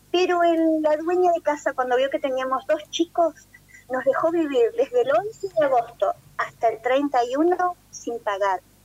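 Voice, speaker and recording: In a dry, close sound with no echo, a woman speaks at a fairly slow pace in a high voice with lively intonation. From Argentina. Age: 50s. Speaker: emigrant interviewee. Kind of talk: phone interview testimony.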